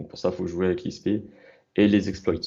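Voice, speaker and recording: Over a quiet background, a man speaks with a fairly low pitch and a dark, mellow tone. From southeastern France (Valence). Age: 20s. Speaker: poker coach. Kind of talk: interview. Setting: live stream call.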